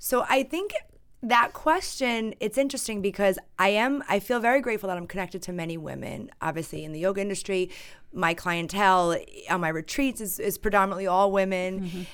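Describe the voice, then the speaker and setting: In a normal speaking voice, a woman talks at a fairly quick pace and medium pitch, with ordinary pitch variation. Her loudness swings a lot, and the recording is very clean with a silent background. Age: 30s. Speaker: yoga teacher. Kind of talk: casual chat.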